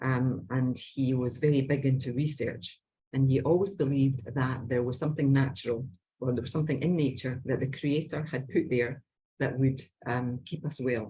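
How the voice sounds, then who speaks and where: Somewhat breathy and dark, mellow in tone, a woman with a very deep, low pitch speaks with fairly even intonation in a Scottish accent. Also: moderate pace. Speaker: Bach flower practitioner. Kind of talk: casual interview chat.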